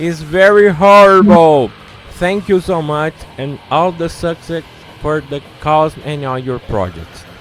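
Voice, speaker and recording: A man with a Brazilian accent, fairly high pitch and fairly slow pace, amid noticeable background noise. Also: ordinary pitch variation. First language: Portuguese. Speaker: interview host. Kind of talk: interview.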